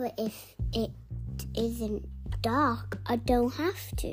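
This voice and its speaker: A put-on character voice moves at a very slow pace while clear music plays in the background. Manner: petulant.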